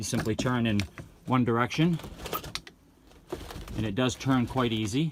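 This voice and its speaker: A man speaks in a New England accent, leaving long, frequent pauses. Noticeable background noise is present. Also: medium pitch for a man, ordinary pitch variation, moderate pace. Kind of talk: product review talk to camera.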